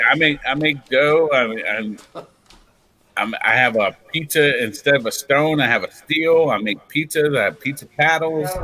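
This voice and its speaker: A man's unremarkable speaking voice, fairly high in pitch, with ordinary pitch variation and a fairly slow pace. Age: 40s. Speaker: podcast guest. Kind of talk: casual chat.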